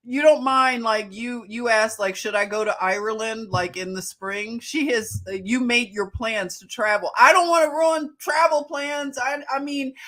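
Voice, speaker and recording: A woman with a Philadelphia accent speaks at a moderate pace and a fairly high pitch, animated and bright with a sharp tone, with lively intonation and big swings in loudness. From Philadelphia, US. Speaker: livestream host. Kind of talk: casual live chat.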